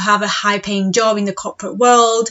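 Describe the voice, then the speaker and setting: A female speaker with a Spanish accent. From Spain. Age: 30s. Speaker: podcast host and mindset coach. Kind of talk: podcast monologue.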